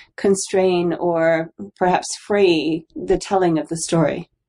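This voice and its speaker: A woman is speaking. Her tone is dark and mellow. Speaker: radio host. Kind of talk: interview conversation. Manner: short questions.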